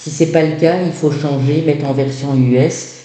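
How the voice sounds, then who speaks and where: A man's fairly high voice in a Belgian accent, monotone and flat, at a moderate pace with audible room echo. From Belgium. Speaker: tarot reader. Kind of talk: tarot reading. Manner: hesitant, many fillers.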